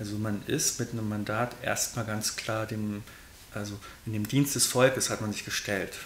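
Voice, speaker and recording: Here a man speaks at a moderate pace in a fairly low, monotone voice with flat intonation. Light background noise and audible room echo are present. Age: 30s. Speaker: party state chairman and candidate; interviewee. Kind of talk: interview. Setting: in a room in Giessen. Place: home room.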